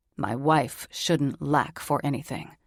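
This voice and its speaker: A woman growls in a put-on character voice with a very deep, low pitch. She talks at a fairly slow pace. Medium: read story. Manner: controlled, terse.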